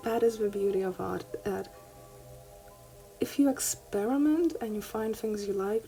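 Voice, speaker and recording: A woman speaks with music in the background. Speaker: art hobbyist youtuber. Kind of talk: tutorial. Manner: halting.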